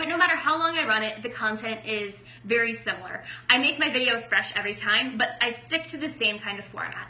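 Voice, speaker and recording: Loud and high-pitched, a woman talks at a fairly quick pace with ordinary pitch variation, amid noticeable background noise and audible room echo. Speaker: network marketing coach. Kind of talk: training talk.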